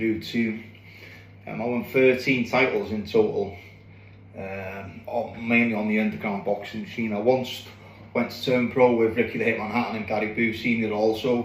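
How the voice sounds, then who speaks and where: Amid audible room echo, a man with a North Welsh accent talks at a moderate pace and medium pitch with fairly even intonation. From North Wales (Anglesey). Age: 40s. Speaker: boxer. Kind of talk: personal monologue to camera. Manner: halting, many fillers and repeats.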